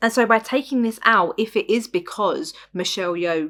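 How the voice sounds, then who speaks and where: Lively intonation marks a woman with an English accent who speaks at a moderate pace in a very clean recording with a silent background. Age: 20s. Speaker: podcast host. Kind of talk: casual monologue review. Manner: animated.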